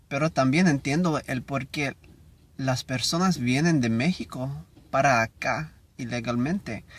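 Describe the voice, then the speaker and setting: A man with an English accent speaks at a fairly slow pace, his pitch fairly high with ordinary variation. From United States. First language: English (speaking Spanish). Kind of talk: reading aloud. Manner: halting.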